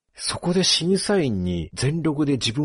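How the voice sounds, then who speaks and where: Over a quiet background, a man's somewhat breathy voice sits at a fairly high pitch with very wide pitch swings. The sound is dry and close, with no echo. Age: 40s. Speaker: writer and podcast host. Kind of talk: casual chat.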